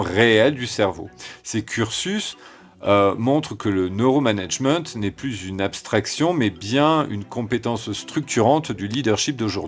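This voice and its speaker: With music in the background, a man talks at a moderate pace in a medium pitch, his intonation lively. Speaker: podcast host, consultant. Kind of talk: podcast monologue. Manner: hesitant, frequent filler sounds.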